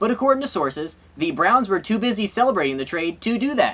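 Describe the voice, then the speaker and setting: A high-pitched man talks very fast, his pitch swinging very widely. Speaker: sports comedy show host. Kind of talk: comedic sports monologue to camera. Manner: sarcastic, joking.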